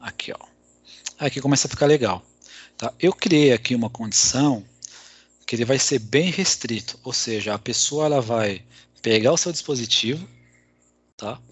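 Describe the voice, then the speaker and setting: Speaking at a moderate pace with ordinary pitch variation, a man with a medium-pitched voice leaves long, frequent pauses. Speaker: IT security speaker. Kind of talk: technical presentation.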